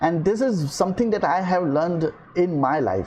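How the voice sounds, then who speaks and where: In an Indian accent, a man with a high pitch speaks at a moderate pace with lively intonation. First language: Hindi. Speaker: podcaster and filmmaker. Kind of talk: motivational monologue. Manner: hesitant, many fillers.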